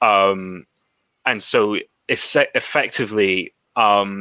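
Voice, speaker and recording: A man speaks at a fairly low pitch in a bright, sharp tone. The sound is dry and close, with no echo. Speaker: panelist on political talk show. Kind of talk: casual political discussion. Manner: stammers a lot.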